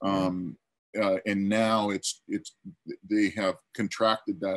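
A man with an ordinary speaking voice speaks at a fairly slow pace and fairly low pitch with fairly even intonation, against a quiet background and a dry sound with no echo. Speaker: storyboard artist; panelist. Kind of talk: panel discussion answer. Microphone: video call.

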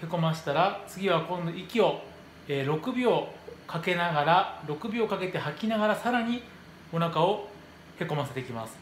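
A man talks amid light background noise, his voice carrying audible room echo. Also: moderate pace. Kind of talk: tutorial. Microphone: phone near.

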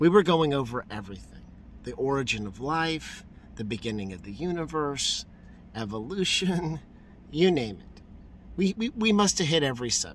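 A man with a fairly high pitch talks at a moderate pace with very wide pitch swings, big swings in loudness and long, frequent pauses, in a dry sound with no echo over light background noise. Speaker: street preacher. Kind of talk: street preaching, fervent testimony. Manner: animated, exuberant, joyful; excitable, repeating for emphasis. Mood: joyful, emotional. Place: car. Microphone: phone near.

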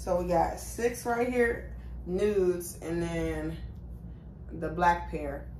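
A woman speaking at a very slow pace with long, frequent pauses, amid audible room echo and light background noise. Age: 20s. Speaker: YouTuber. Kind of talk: try-on haul vlog. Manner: casual, chatty. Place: home room. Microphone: phone near.

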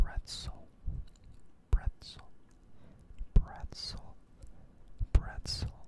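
A man whispers at a very slow pace. His speech is broken by long, frequent pauses. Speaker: ASMR content creator. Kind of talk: ASMR trigger-word whisper video. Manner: soft, repetitive trigger-word whispering with casual chatty asides. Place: home room. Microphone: studio mic.

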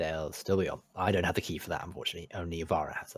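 Someone rattles off lines at a very fast pace in a gruff, put-on character voice. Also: man, very deep, low pitch for a man. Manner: gruff, dismissive; curt, urgent.

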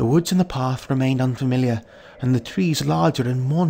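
A natural reading voice carries ordinary pitch variation from line to line.

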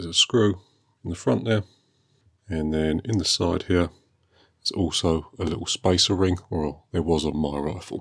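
A man with a very deep, low pitch speaks at a moderate pace with ordinary pitch variation. He leaves long, frequent pauses, and the background is quiet. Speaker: airgun hobbyist. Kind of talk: tutorial narration. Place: workshop.

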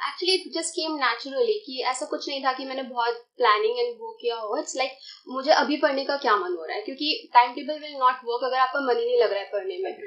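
Against a quiet background, the speaker talks at a fairly quick pace with hardly any pauses, lively intonation and big swings in loudness. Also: woman, high pitch for a woman. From India (Rajasthan). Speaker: exam topper, commerce postgraduate student. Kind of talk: interview. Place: studio.

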